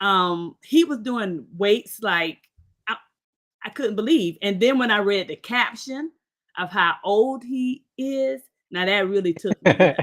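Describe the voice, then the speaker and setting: A woman at medium pitch, speaking at a very slow pace with lively intonation. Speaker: podcast host. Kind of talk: interview. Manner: informal.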